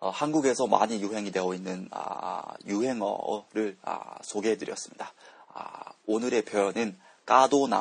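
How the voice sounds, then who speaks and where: Fairly slow and fairly low, a man's voice moves with ordinary pitch variation. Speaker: podcast host teaching Korean. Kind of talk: language lesson podcast. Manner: hesitant with many fillers.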